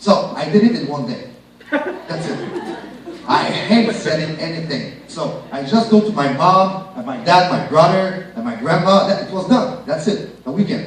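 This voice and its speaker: In a Quebec accent, a man talks at a fairly slow pace with high pitch, an animated tone, very wide pitch swings and big swings in loudness, amid noticeable background noise and audible room echo. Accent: French-Canadian accent in English. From Quebec (Shawinigan). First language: French. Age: 30s. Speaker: network marketing speaker. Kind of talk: motivational business presentation.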